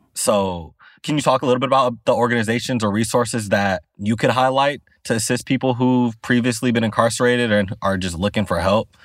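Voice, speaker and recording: A man speaks at a fairly quick pace in a medium pitch, with an unremarkable speaking voice and ordinary pitch variation. The recording is very clean, with a silent background. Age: young. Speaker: podcast co-host. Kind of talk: interview.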